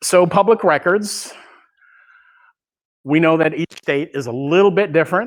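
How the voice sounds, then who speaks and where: In a Californian accent, a man talks at a moderate pace with fairly high pitch and ordinary pitch variation. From California, Bay Area. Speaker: law enforcement records manager and instructor. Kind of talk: training lecture.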